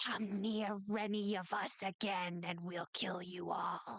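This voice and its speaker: A female-sounding voice does a put-on character voice at a medium pitch. The intonation is monotone and flat, and the pace fairly slow. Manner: menacing, threatening.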